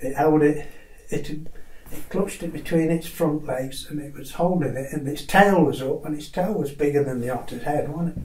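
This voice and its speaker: There is noticeable background noise behind a man with a fairly high pitch. He talks at a moderate pace with fairly even intonation. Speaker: naturalist. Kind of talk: oral history recollection.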